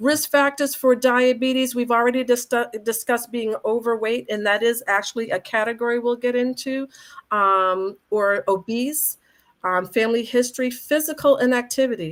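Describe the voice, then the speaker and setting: Her voice high in pitch with ordinary variation, a woman speaks in an American accent. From Boston. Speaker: functional medicine doctor. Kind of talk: health presentation. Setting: live video stream. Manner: fast; animated.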